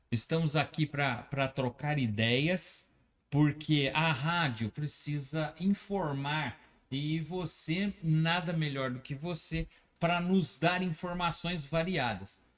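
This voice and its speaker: Ordinary pitch variation accompanies a very slow delivery. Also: man, fairly high pitch for a man. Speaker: web radio host. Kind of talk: casual interview chat. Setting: radio studio. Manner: halting, with many fillers.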